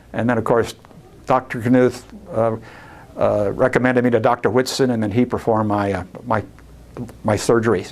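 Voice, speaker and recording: The speech runs at a fairly quick pace but breaks into long, frequent pauses, with monotone, flat intonation. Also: man, medium pitch for a man. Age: 70s. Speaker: patient giving testimonial. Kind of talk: testimonial. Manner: halting, many fillers and restarts.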